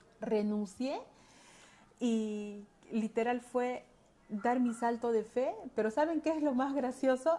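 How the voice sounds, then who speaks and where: A woman with a high-pitched voice and a dark, mellow tone speaks very slowly, with ordinary pitch variation and long, frequent pauses. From Peru, Andahuaylas (Apurímac). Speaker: holistic coach. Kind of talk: personal testimony talk. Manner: hesitant, many fillers.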